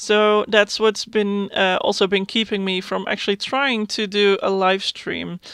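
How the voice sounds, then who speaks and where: At a fairly slow pace with hardly any pauses, a woman speaks at a medium pitch in monotone, flat intonation. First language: Dutch. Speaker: gaming YouTuber. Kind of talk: voiceover for a speedbuild video. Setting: recording at home at night. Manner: hesitant, many fillers.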